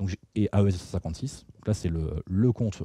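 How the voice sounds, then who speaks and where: A man speaks in a very deep, low voice with ordinary pitch variation. The recording is very clean, with a silent background. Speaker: security researcher and tool author presenting at a conference. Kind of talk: technical talk with live demo. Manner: fast; casual, conversational.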